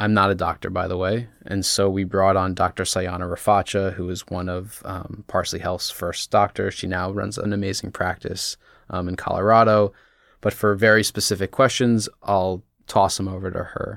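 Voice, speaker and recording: On a very clean recording with a silent background, a man with an American accent speaks at a moderate pace. His voice is fairly low in pitch, with monotone, flat intonation. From Washington DC suburbs, US. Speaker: CBD company founder. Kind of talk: casual interview.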